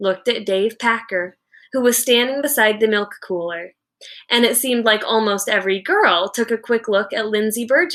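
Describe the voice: Over a quiet background, someone reads plainly aloud with ordinary pitch variation.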